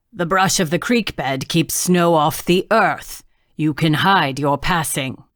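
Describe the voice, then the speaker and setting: A growling, put-on character voice at middle pitch and a fairly slow pace, on a very clean recording with a silent background. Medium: read story. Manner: taunting, talkative.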